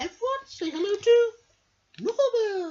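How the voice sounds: A woman puts on a character voice with an extremely high pitch and big pitch swings. Her tone is dark and mellow.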